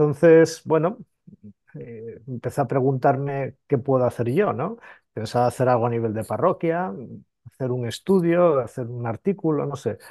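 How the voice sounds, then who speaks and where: Against a quiet background, a man with a dark, mellow tone speaks at a moderate pace and medium pitch, with ordinary pitch variation. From Spain, Asturias (mining town). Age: 50s. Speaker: priest and theologian. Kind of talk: interview. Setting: on location at an abbey in Italy.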